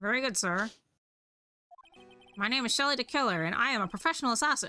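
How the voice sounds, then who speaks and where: A put-on character voice, fairly high in pitch and very fast, with faint music in the background. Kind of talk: polite, formal.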